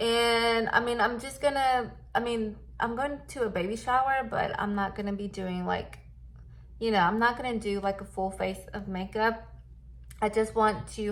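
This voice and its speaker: A woman with an American accent talks at a moderate pace and ordinary pitch variation, with audible room echo. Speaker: beauty youtuber. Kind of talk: product review tutorial. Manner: casual, filler-heavy.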